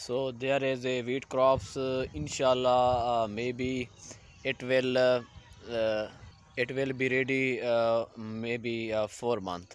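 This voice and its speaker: A man with a Pakistani accent speaks at a very slow pace. His medium-pitched voice keeps a fairly even intonation. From Pakistan, Saraiki-speaking area. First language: Saraiki or Urdu. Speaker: vlogger. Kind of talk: casual vlog narration. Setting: outdoors in village fields. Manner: halting, many fillers.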